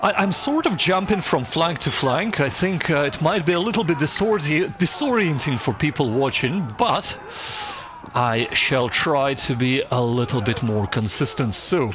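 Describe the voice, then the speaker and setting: A Slavic accent at a moderate pace, with very wide pitch swings, very even loudness, and noticeable background noise. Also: man, fairly high pitch for a man. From former Soviet Union. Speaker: strategy game YouTuber. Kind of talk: gameplay commentary. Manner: hesitant, many fillers and repetitions.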